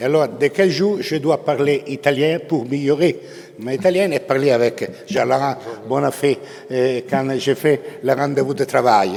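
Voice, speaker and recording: A man's fairly high voice, fairly slow, with ordinary pitch variation over noticeable background noise. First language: Italian (speaking French). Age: 70s. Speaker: bank chairman. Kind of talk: formal speech. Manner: halting.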